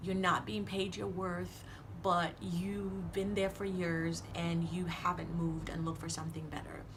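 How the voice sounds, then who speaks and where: A woman in a Caribbean accent at a fairly slow pace, with audible room echo and noticeable background noise. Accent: Caribbean accent, noticeable on some words. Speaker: motivational vlogger. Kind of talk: motivational talk to camera. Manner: casual, conversational with fillers.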